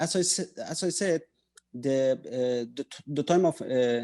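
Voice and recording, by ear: The tone is dark and mellow, the pace fairly slow, and the pitch variation ordinary. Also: man, medium pitch for a man.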